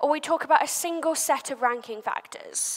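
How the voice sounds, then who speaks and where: Extremely high in pitch, a woman talks with lively intonation. Noticeable background noise sits behind her. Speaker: SEO agency head, conference speaker. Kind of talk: conference talk. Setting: stage with audience. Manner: fast.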